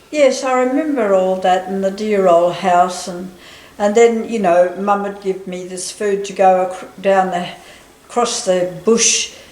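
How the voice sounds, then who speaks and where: At a very slow pace, a woman talks at a medium pitch. Noticeable background noise and audible room echo accompany her. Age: 80s+. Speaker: interviewee recalling family history. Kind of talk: casual chat.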